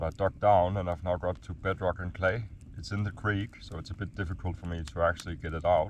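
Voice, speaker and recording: Speaking at a very fast pace, a man with a very deep, low pitch sounds somewhat breathy, his intonation fairly even. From Denmark. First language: Danish. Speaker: gold prospector vlogger. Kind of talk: outdoor vlog narration. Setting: outdoors, camping in bush.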